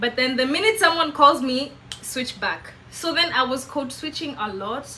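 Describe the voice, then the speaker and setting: A woman with a high pitch projects her raised voice at a moderate pace, animated in tone and lively in intonation, over noticeable background noise. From Kenya. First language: Kikamba. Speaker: vlogger. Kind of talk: casual monologue.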